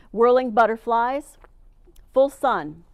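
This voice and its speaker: Speech at a fairly slow pace comes through on a very clean recording with a silent background. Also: woman. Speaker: master gardener giving a plant talk. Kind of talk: presentation to a club. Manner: enthusiastic.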